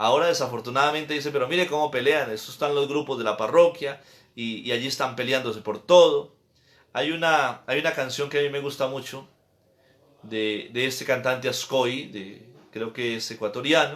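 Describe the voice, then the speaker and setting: A man's medium-pitched, normal speaking voice at a moderate pace with ordinary pitch variation, on a very clean recording with a silent background. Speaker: priest. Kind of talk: catechesis lecture.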